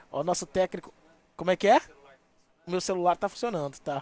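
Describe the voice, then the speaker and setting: The man's voice is high-pitched, with a dry, close sound and no echo. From Minas Gerais, Brazil (rural interior near Valadares). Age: 40s. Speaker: radio host. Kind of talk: interview. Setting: live stream. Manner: casual.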